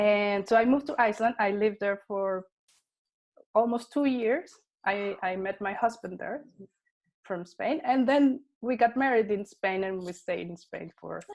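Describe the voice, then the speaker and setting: A woman with a Spanish accent speaks at a fairly high pitch, with ordinary pitch variation and big swings in loudness. The recording is very clean, with a silent background. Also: moderate pace. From Colombia and Panama. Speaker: technology consultant and content creator. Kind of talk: interview. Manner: halting, with fillers.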